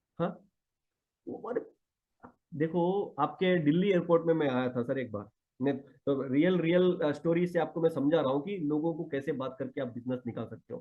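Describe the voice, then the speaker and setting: Moderately paced male speech, fairly high in pitch, with ordinary pitch variation. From Karnataka, South India. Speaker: network marketing leader. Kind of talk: motivational talk. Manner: animated.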